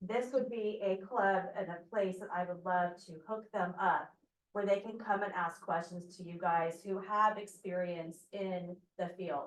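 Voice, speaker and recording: A soft-spoken woman with a medium pitch talks at a fairly slow pace, her loudness swinging widely while her intonation stays fairly even. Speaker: fire district emergency preparedness coordinator. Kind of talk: club meeting remarks.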